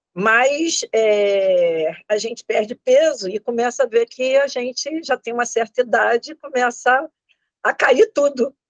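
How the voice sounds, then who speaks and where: A woman speaks at a very slow pace and high pitch with ordinary pitch variation. The sound is dry and close, with no echo. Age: 60s. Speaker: student of online facial exercise course. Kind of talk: testimony interview. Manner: halting, many repetitions.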